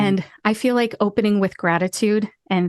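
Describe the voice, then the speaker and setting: In a normal speaking voice, a woman with an American accent talks at a medium pitch with fairly even intonation. The sound is dry and close with no echo, against a quiet background. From Ohio, USA. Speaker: pharmacist and voice actor. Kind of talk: podcast interview answer.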